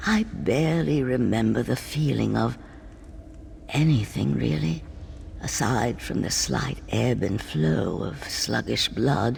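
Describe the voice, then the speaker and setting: Someone speaks in a put-on character voice at a fairly slow pace. Clear background noise can be heard. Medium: video game.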